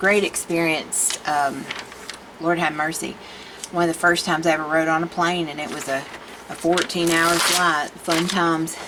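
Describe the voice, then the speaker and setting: A woman speaks at a moderate pace in a fairly low pitch, monotone and flat. Audible room echo and noticeable background noise come through. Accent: Southern US. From Tennessee, US South. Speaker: art video creator. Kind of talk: casual chat. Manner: chatty, rambling conversational.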